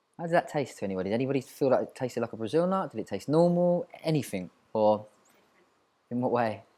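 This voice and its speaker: On a very clean recording with a silent background, the dark, mellow voice moves at a very fast pace with lively intonation, broken by long, frequent pauses. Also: man, medium pitch for a man. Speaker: mindfulness coach. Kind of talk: guided mindfulness exercise.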